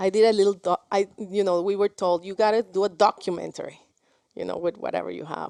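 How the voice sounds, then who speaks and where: A woman with a Spanish accent speaks at a very fast pace in a medium-pitched, dark, mellow tone with monotone, flat intonation and a dry, close sound with no echo. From Mexico. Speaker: film director. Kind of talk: interview. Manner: halting, many repetitions.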